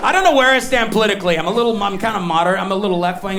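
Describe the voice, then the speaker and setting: A man talks at a very fast pace with ordinary pitch variation. Noticeable background noise is present. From Canada. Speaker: stand-up comedian. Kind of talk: live stand-up comedy performance. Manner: high energy.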